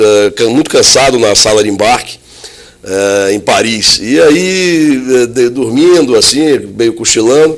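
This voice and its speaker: Lively intonation from a man at a medium pitch and moderate pace, over noticeable background noise. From northeastern Brazil (Salvador, Bahia; teens in Recife). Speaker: logistics company executive. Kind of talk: interview.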